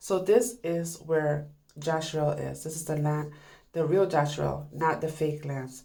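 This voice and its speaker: A woman's very deep, low voice, dark and mellow in tone, with fairly even intonation and audible room echo. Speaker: video commentator. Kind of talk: casual commentary.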